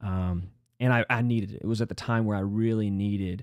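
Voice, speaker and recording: Over a quiet background, a man with an American accent speaks at a moderate pace, the sound dry with no echo. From North Carolina. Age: 30s. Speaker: former wrestling coach. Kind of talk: casual chat. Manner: halting, many fillers. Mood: reflective, personal storytelling. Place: home room. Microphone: studio mic.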